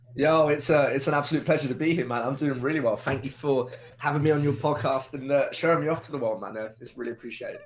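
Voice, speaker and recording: Over noticeable background noise, a man with a fairly high pitch talks at a very fast pace with hardly any pauses. His loudness swings widely. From UK. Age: 20s. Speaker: video game streamer. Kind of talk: podcast interview. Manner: energetic.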